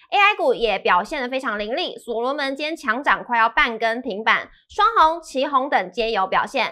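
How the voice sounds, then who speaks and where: Projecting her high, bright, sharp voice, a woman with a Taiwanese accent sweeps through very wide pitch swings with hardly any pauses against a quiet background. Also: moderate pace. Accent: Taiwanese Mandarin. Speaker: show presenter; presenter. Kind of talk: scripted news reading. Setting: studio. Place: studio. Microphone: headset.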